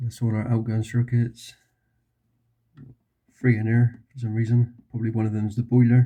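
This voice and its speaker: Here is a man with a dark, mellow tone. His voice is somewhat breathy at medium pitch. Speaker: electrician. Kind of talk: casual talk to camera while working. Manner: monotone.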